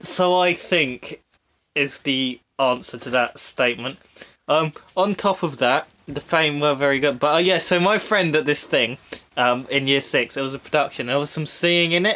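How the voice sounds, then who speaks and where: This man has an English accent, a fairly high pitch and a bright, sharp tone. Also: ordinary pitch variation, moderate pace. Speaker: podcast host. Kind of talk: casual chat. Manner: frequent pauses and filler words.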